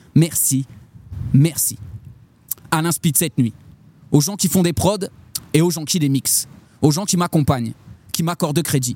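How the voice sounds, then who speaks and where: Dry and close with no echo, a man's dark, mellow voice sits fairly high in pitch, moving at a moderate pace with ordinary pitch variation and long, frequent pauses. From France, Châlons-en-Champagne (Marne). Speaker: slam poet. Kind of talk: slam poetry performance; casual interview chat.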